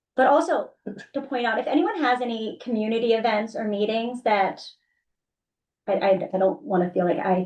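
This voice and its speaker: With an American accent, a woman speaks at a moderate pace with ordinary pitch variation in a plain, everyday voice. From western Pennsylvania, Beaver County. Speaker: council of governments staff member. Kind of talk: board meeting report.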